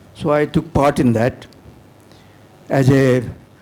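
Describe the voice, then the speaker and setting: Noticeable background noise accompanies a man speaking at a fairly high pitch with fairly even intonation. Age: 80s+. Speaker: war veteran. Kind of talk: audience question.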